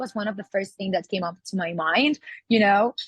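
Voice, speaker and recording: Captured with a dry, close sound and no echo, a woman with a Catalan accent talks at a fairly quick pace. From Catalonia, Spain. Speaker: singer. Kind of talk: interview. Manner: halting, many fillers.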